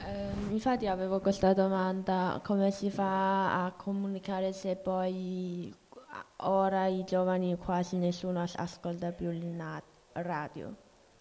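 A woman speaks at a very slow pace in a dark, mellow tone, her medium pitch held in a monotone, flat intonation. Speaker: workshop participant; audience member. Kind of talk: classroom discussion. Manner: halting. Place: hall.

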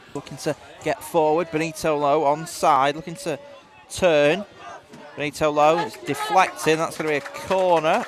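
Crowd noise fills the background as a man speaks at a moderate pace. His pitch is fairly high and his intonation fairly even. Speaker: match commentator. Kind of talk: live sports commentary.

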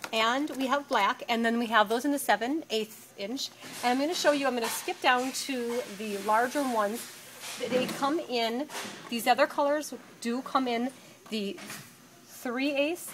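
A woman speaks at a high pitch. Light background noise is present. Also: ordinary pitch variation, fairly slow pace. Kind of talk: product walkthrough commentary. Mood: upbeat, enthusiastic. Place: factory. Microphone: phone near.

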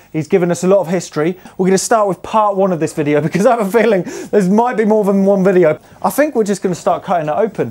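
Here a man talks at a very fast pace. His pitch is high, with ordinary variation. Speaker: museum host. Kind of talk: casual vlog chat. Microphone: lapel.

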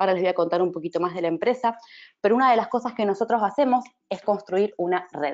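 The voice is an ordinary speaking voice, with ordinary pitch variation. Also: woman. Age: 30s. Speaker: network marketing distributor. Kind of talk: sales pitch.

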